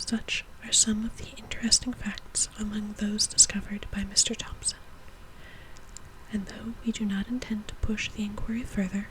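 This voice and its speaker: Whispering at a moderate pace, a woman speaks against noticeable background noise. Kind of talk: reading aloud from an antique science book. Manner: soft-spoken.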